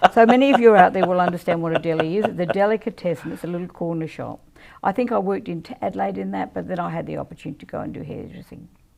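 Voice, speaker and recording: At a very fast pace, a woman with a fairly low pitch speaks with vocal fry, lively intonation and big swings in loudness. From South Australia, country town. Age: 70s. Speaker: mayor. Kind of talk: interview. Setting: live podcast.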